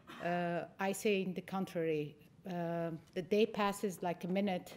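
A woman speaks in a fairly low pitch with a monotone, flat intonation. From Lebanon. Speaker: education center director. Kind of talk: conference talk. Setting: stage with audience. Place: stage. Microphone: podium.

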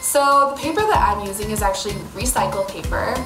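At a moderate pace, the voice is heard with clear music in the background. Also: woman. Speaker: art teacher. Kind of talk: tutorial. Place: workshop. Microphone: phone near.

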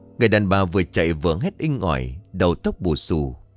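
Faint music sits in the background as a man talks at a fairly slow pace, the sound dry with no echo. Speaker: storyteller narrator. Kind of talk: dramatic story reading. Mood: suspenseful horror storytelling. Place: studio. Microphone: studio mic.

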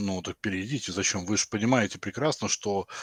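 The sound is dry and close, with no echo. Delivery comes at a moderate pace. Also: man. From Russia. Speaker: video chat stranger. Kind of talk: heated debate. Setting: video call. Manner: aggressive.

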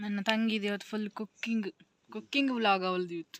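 This woman has a normal speaking voice with a fairly high pitch. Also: dry, close sound with no echo. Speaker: vlogger. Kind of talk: casual vlog narration.

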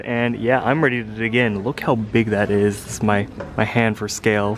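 A man talks at moderate speed. Behind him, background noise is noticeable. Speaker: vlogger. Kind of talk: casual vlog chat. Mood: relaxed, amused. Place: street. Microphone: phone near.

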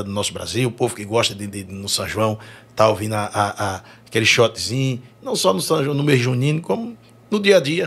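A man is talking. Very wide swings run through his pitch. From Brazil, Northeast (Sergipe/Bahia); Northeast Brazil. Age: 40s. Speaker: forró singer; podcast guest. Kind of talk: casual chat. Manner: halting, repeats words. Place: studio. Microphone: studio mic.

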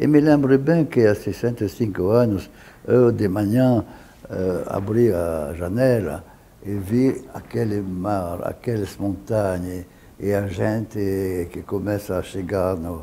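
A man speaks very slowly at a fairly low pitch over light background noise. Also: ordinary pitch variation. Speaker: journalist. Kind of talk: interview answer. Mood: moved, reflective. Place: office. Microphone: lapel.

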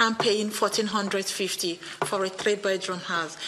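Her intonation is fairly even as a woman speaks. Light background noise sits behind her. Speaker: tenant resident. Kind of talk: testimony. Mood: earnest, appealing. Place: meeting room. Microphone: podium.

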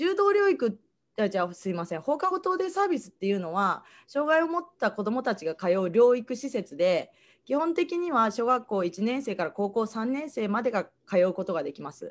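A woman talks at a moderate pace with a fairly high pitch. Her pitch swings very widely. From Japan, Kagoshima (Kanoya); Japan. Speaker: after-school day service judo instructor. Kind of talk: online presentation. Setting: online livestream talk. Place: home room. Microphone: video call.

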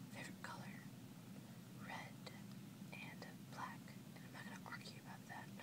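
A soft-spoken woman whispers at a moderate pace over loud background noise. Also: dry sound with no echo. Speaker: vlogger. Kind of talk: casual vlog chat, Q&A tag. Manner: soft close whisper. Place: home room. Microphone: webcam.

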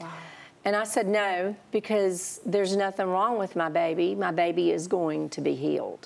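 Using a Southern accent, a woman of medium pitch keeps a moderate pace and fairly even intonation. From US South, South Carolina. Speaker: guest sharing testimony; guest. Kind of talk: testimony. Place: studio. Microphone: lapel.

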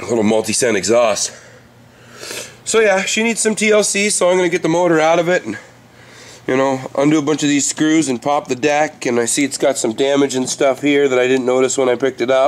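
Through noticeable background noise, a man speaks with lively intonation in a fairly high pitch. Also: fairly quick pace. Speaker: RC hobbyist. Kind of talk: casual talk to camera. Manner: casual, profane.

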